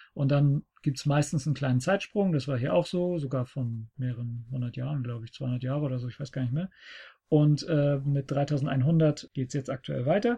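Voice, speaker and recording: Over a quiet background, a man speaks at a moderate pace with fairly high pitch and ordinary pitch variation. His tone is dark and mellow, and somewhat breathy. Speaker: podcast host. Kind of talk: casual chat. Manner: talkative.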